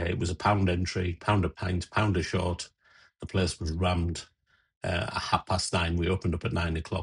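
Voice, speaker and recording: A man with an English accent talks at a fairly quick pace in a very deep, low voice that is somewhat breathy. His intonation is monotone and flat, and the background is quiet. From England. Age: 60s. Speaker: DJ and radio presenter; DJ, radio presenter. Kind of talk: casual tutorial intro; casual vlog chat. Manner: casual, with fillers. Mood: warm, nostalgic. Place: home room.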